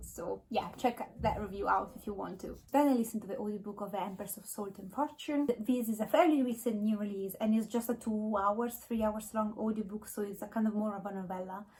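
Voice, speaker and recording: A woman's fairly quick speech with fairly even intonation. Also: fairly high pitch for a woman, hardly any pauses. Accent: non-native. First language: not English. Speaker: book vlogger. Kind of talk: casual monologue. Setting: home, filming in natural light. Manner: hesitant, with fillers.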